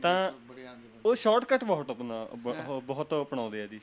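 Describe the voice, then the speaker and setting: This man has an ordinary speaking voice. His pitch sits fairly high. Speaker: interviewer. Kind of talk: interview questions.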